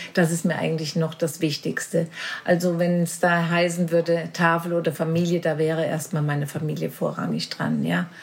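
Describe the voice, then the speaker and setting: Her voice is fairly low in pitch for a woman and somewhat breathy. She keeps a moderate pace with monotone, flat intonation. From Marburg, Hesse, Germany. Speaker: charity chairwoman. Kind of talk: casual interview.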